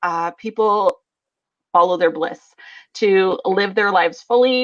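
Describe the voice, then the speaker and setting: A woman talks at a moderate pace with a western Canadian accent. Her pitch is medium, with ordinary variation. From Alberta, western Canada. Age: 30s. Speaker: business coach. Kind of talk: interview. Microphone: slight delay on the line.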